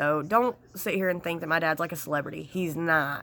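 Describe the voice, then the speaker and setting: Her voice is fairly low in pitch with a bright, sharp tone, and this woman keeps a fairly even intonation at a fairly quick pace. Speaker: lifestyle and beauty vlogger. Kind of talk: casual vlog talk to camera. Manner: chatty, many fillers.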